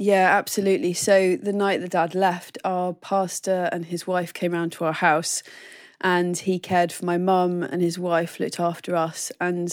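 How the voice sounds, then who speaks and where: A woman's fairly low voice with a southern English accent, fairly slow and monotone, in a very clean recording with a silent background. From southern England. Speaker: ministry training coordinator. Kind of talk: interview.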